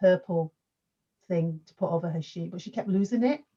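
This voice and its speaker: Somewhat breathy and dark, mellow in tone, a woman talks at medium pitch and a fairly quick pace. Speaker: youth worker and panel host. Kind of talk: panel discussion. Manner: quiet.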